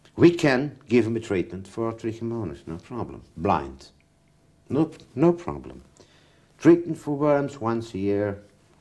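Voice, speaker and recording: A man's medium-pitched voice, dark and mellow, at a fairly slow pace, long and frequent pauses, very wide pitch swings and big swings in loudness. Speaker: pigeon health specialist. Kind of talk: interview. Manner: halting.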